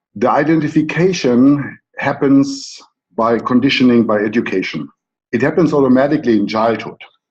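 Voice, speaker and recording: Medium in pitch for a man and very even in loudness, a man with a German accent speaks at a moderate pace with ordinary pitch variation. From Germany. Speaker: coach. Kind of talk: conference talk.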